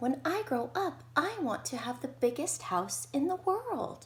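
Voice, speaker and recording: In a put-on character voice, a female-sounding voice goes at a fairly slow pace with a high pitch. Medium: read story.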